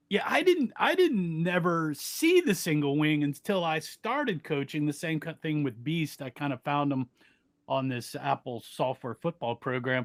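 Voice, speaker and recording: A man's plain, everyday voice, fairly high in pitch with ordinary pitch variation, at a moderate pace, dry and close with no echo, on a very clean recording with a silent background. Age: 60s. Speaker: youth football coach. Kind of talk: casual chat.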